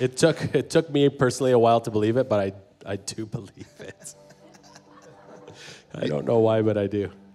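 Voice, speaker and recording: In a raspy, put-on character voice of medium pitch, a man speaks at a moderate pace with long, frequent pauses and big swings in loudness while music plays in the background. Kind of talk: casual banter. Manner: laughing while speaking.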